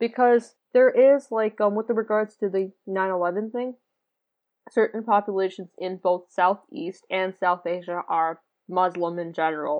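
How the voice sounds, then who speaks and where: In a plain, everyday voice, a woman speaks with an American accent at a medium pitch. She goes at a fairly slow pace with ordinary pitch variation. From North America, Punjabi Indian family. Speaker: pharmacy student. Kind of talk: casual chat.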